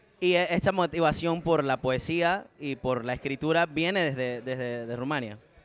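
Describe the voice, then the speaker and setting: An ordinary speaking voice at a moderate pace, with ordinary pitch variation and hardly any pauses. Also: man, fairly high pitch for a man. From Menorca, Spain (Catalan-speaking as a small child). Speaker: podcast host. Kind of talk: interview.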